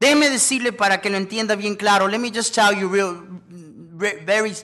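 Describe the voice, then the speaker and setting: In a raised, projected voice, a man with a high pitch speaks in an animated, bright and sharp tone with ordinary pitch variation. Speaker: preacher. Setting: church with congregation. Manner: emphatic, commanding, urgent pulpit delivery with punchy short declarations; animated, exhorting, pausing for congregation amens.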